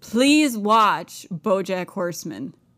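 The pace is very slow as a woman speaks. The recording is very clean, with a silent background. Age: 20s. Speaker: podcast co-host. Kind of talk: casual chat.

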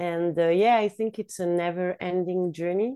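This woman has a dark, mellow tone and a fairly low pitch. Her intonation stays fairly even. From Switzerland. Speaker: yoga teacher. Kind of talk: casual interview. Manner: hesitant, many fillers.

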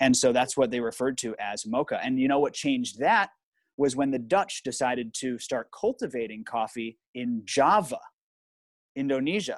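A man talks at medium pitch and a moderate pace, with ordinary pitch variation. The sound is dry and close with no echo, and the background is quiet. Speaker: coffee expert, podcast producer. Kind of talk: casual interview chat. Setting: video call or stream.

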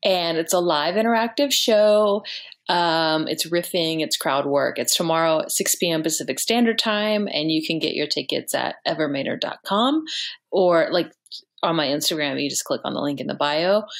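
A woman with an American accent talks at a moderate pace in an unremarkable speaking voice, fairly low in pitch with ordinary pitch variation. The very clean recording has a silent background. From rural Texas. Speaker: comedian. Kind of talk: show plug; casual chat.

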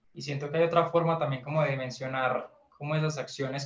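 A fairly high-pitched man in a Colombian Paisa accent, fairly quick in pace and monotone, flat in intonation. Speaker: indie musician, pianist. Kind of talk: interview.

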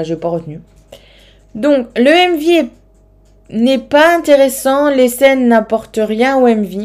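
A woman speaks in a northern French accent. Her speech has long, frequent pauses. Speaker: K-pop podcast host. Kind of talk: solo podcast monologue. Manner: hesitant, many fillers.

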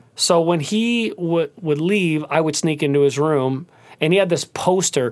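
An animated tone at a fairly slow pace, with ordinary pitch variation, in a very clean recording with a silent background. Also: man, fairly high pitch for a man. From US Midwest, Cleveland, Ohio. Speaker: singer and pianist. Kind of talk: casual interview.

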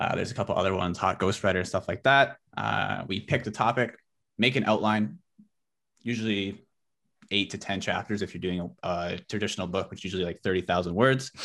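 A fairly quick pace against a quiet background. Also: man, fairly low pitch for a man, ordinary pitch variation. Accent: Western Canadian. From Canada, British Columbia (Abbotsford). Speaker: online entrepreneur. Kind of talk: interview.

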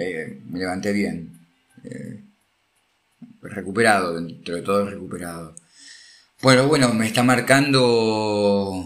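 Audible room echo surrounds a man speaking at a very slow pace with long, frequent pauses. His fairly low voice shows ordinary pitch variation and big swings in loudness. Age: 40s. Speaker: podcast host, amateur triathlete. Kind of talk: casual monologue.

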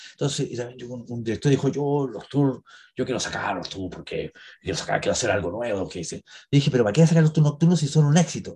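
A somewhat breathy man's voice, fairly high in pitch and dark and mellow in tone, with lively intonation, big swings in loudness and a fairly quick pace. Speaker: actor and cemetery tour guide. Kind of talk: interview. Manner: halting.

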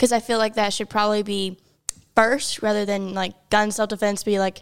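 This woman has a plain, everyday voice with an American accent. Her pitch is fairly high and her pace moderate. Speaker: podcast co-host. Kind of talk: casual chat.

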